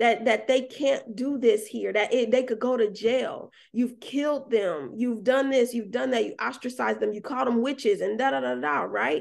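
A woman with a fairly high voice and vocal fry speaks at a moderate pace, hardly pausing. Her pitch varies in an ordinary way. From US South, Atlanta. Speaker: birth worker and doula trainer. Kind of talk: casual interview.

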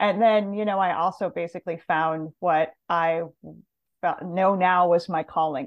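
A woman with an American accent uses a plain, everyday voice. Her pitch is fairly low, her intonation fairly even, and her pace fairly slow. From US, Montana. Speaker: plant medicine practitioner and author. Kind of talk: interview.

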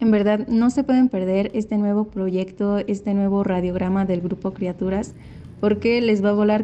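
Her tone dark and mellow, a woman speaks at a moderate pace and medium pitch with monotone, flat intonation. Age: 20s. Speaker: university student and amateur actor. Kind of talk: recorded testimony about acting role.

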